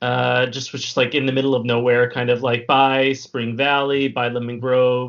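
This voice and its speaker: A man with an American accent in a monotone, flat delivery, with hardly any pauses. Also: medium pitch for a man, moderate pace. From US West Coast, San Diego, California. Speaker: cartoonist and illustrator. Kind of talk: casual chat. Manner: halting, many fillers.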